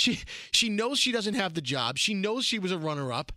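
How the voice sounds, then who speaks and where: In a very clean recording over a silent background, a man with a New York accent projects a raised, high-pitched voice with a bright, sharp tone and very wide pitch swings. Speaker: podcast co-host, radio personality. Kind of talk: casual comedic banter.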